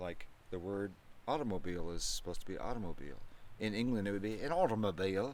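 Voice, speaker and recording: A man with a Midwestern accent speaks very fast. His pitch is fairly low and his intonation lively. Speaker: father of host. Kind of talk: casual chat. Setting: by a fireplace.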